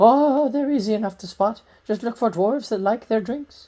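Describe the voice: The delivery comes at a moderate pace. It's a put-on character voice, pitched fairly high.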